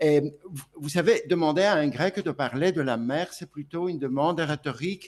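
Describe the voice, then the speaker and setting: A fairly slow pace with ordinary pitch variation. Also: man. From Greece (Volos). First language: Greek (speaking French). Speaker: speaker at a conference. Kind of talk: conference speech. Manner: hesitant, many fillers and repetitions.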